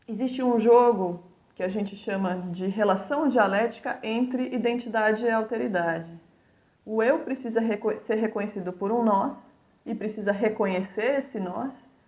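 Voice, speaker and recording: A woman with a São Paulo accent speaks at a moderate pace in a fairly high voice with ordinary pitch variation, and some room echo can be heard. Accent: São Paulo (paulista) Brazilian Portuguese. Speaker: university lecturer. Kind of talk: lecture.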